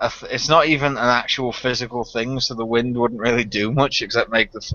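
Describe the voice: Someone reads the text aloud plainly. Their intonation holds fairly level throughout.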